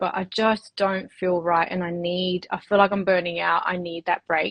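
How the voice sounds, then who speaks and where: Speaking at a moderate pace with hardly any pauses, a woman in an Australian accent keeps a medium pitch and fairly even intonation. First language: Spanish. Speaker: women's health clinic owner. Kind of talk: interview. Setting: livestream. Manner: hesitant, many fillers.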